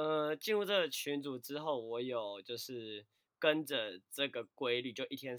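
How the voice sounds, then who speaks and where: A man with a normal speaking voice talks at a fairly slow pace, using a medium pitch and ordinary pitch variation. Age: 20s. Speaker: fitness and dance instructor. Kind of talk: casual chat.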